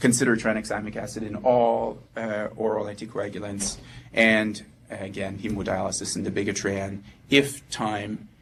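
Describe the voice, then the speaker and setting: Amid audible room echo, a man speaks at a moderate pace with monotone, flat intonation. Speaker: anesthesia resident doctor. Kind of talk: medical lecture. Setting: presentation room with audience. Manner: halting, many fillers.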